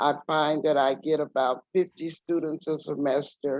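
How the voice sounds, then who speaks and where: With an American accent, a woman speaks at a very deep, low pitch in a dry, close sound with no echo. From Texas, San Antonio. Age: 60s. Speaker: activist and professor. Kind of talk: guest lecture.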